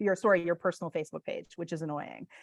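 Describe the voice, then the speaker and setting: A woman's voice, dry and close with no echo. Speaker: real estate business coach. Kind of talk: webinar presentation with Q&A. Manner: fast.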